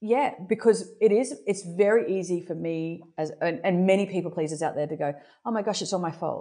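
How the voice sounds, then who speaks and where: Against a quiet background, a woman with a dark, mellow tone speaks fairly quickly at a medium pitch with ordinary pitch variation. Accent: Australian. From Brisbane, Australia. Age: 40s. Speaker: entrepreneur. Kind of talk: casual chat.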